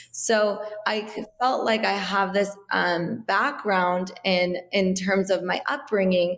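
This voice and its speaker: The woman's voice sits at a medium pitch with ordinary pitch variation. Noticeable background noise runs behind her. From US, Iranian immigrant family. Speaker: wellness entrepreneur. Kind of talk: interview. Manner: casual, many fillers.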